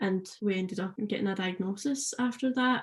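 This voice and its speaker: A woman's voice comes across as somewhat breathy. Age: 20s. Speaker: paramedic student, transplant patient. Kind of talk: podcast interview.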